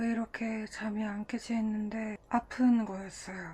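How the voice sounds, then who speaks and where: At a very slow pace, a somewhat breathy woman speaks with a fairly high pitch and a dark, mellow tone. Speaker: diet vlogger. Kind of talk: vlog narration. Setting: at home in bed.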